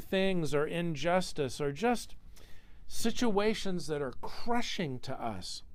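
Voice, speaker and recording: A man's high-pitched voice at a very slow pace, with audible room echo. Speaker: pastor. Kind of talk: sermon. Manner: halting, with many repeated words.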